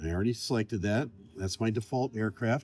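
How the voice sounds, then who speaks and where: A man talks at a moderate pace. The sound is dry, with no echo. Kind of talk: tutorial. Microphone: phone near.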